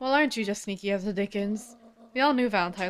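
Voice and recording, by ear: Someone is reading aloud in a natural voice, and the pitch moves with ordinary pitch variation.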